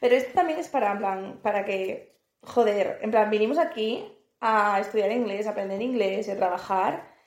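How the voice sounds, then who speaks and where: There is audible room echo in this clip. A woman talks with a fairly high pitch. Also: ordinary pitch variation, moderate pace. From northern Spain, Asturias. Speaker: podcast co-host. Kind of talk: casual chat.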